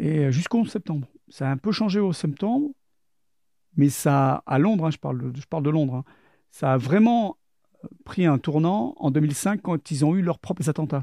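Recorded with a dry, close sound and no echo, a man with a fairly high pitch and a dark, mellow tone speaks with long, frequent pauses. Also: moderate pace. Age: 50s. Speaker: former intelligence agent and soldier. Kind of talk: testimony. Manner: halting.

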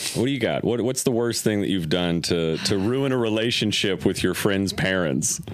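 A man with a fairly low voice speaks at a moderate pace with lively intonation, very even loudness and hardly any pauses, over noticeable background noise. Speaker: podcast co-host. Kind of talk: casual chat. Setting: studio.

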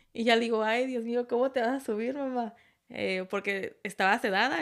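A woman at a fairly high pitch with ordinary pitch variation, on a very clean recording with a silent background. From Tijuana, Mexico. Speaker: podcast guest, host's partner, off-road enthusiast. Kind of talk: casual chat. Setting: home studio setup, video recording.

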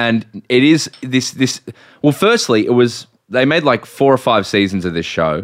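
Lively intonation from a man of medium pitch with an Australian accent, at a fairly slow pace, in a dry, close sound with no echo. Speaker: podcast host. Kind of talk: casual chat.

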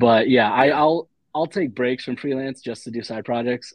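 With an American accent, a man talks at a fairly quick pace using ordinary pitch variation. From Dayton, Ohio, US Midwest. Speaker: freelance illustrator. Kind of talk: casual chat.

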